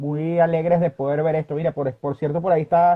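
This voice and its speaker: A man's high-pitched, very fast speech in a monotone, flat delivery. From Venezuela, Barquisimeto (Lara). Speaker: sports journalist. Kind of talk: interview.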